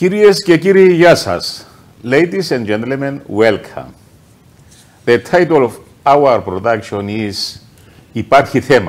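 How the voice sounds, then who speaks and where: Talking at a fairly slow pace, a man with a Greek accent makes very wide pitch swings. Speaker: TV show host. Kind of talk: panel discussion. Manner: halting.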